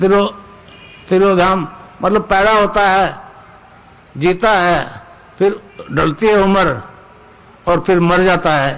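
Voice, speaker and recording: A man with a high pitch speaks with fairly even intonation and long, frequent pauses, with noticeable background noise behind him. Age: 80s+. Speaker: spiritual teacher. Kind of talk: spiritual discourse.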